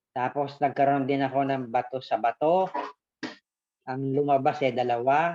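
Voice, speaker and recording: A man's fairly high, dark and mellow voice at a moderate pace, with fairly even intonation. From Philippines, Quezon province. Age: 60s. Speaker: customer. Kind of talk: testimony.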